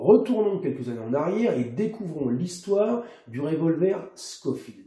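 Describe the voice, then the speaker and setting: A man talks at a fairly slow pace in a dark, mellow tone. His pitch swings very wide. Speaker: airgun and replica weapon reviewer. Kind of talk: history narration to camera. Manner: casual, conversational.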